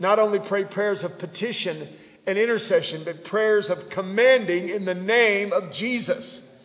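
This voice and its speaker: There is noticeable background noise as a man talks. His voice is high and his pace fairly slow. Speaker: pastor. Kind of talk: sermon; fervent prayer, call to shout. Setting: church. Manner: fervent, impassioned; hesitant, filler-laden.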